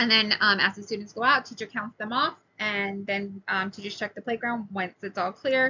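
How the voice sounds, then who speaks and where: A woman's medium-pitched voice, bright and sharp in tone, with ordinary pitch variation and a moderate pace. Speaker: preschool teacher. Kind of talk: recorded class presentation. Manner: hesitant, many fillers.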